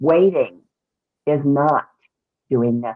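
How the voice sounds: A booming, put-on character voice with low-to-middle pitch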